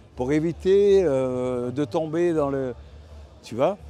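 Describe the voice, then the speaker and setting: Music runs behind a man who talks very slowly. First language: Italian (speaking French). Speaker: artist. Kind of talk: interview. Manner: halting.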